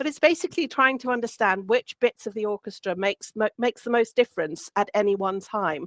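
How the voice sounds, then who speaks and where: Loud and at a medium pitch, a woman's voice comes through dry and close with no echo. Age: old. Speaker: resilience researcher. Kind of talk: webinar talk. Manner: hesitant, many fillers.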